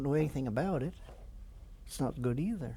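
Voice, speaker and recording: A man with a Canadian accent speaks at medium pitch, his tone dark and mellow and somewhat breathy. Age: 70s. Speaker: war veteran. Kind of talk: interview. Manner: halting.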